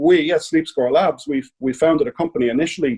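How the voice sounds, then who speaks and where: With an Irish accent, a man speaks at a moderate pace in a dark, mellow tone. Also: dry, close sound with no echo. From Ireland. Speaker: sleep technology company CEO. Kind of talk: podcast interview.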